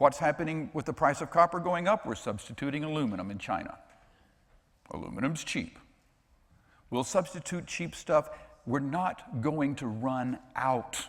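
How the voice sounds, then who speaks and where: Pausing long and often, a man with a fairly high voice talks at a moderate pace, his tone animated and his intonation lively. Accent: American. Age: 60s. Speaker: financial expert and author. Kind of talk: conference talk.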